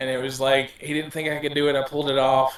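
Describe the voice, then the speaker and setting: With noticeable background noise, a man talks in a flat, monotone way. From Ireland, Dublin. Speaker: tabletop game player. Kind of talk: podcast interview, casual chat.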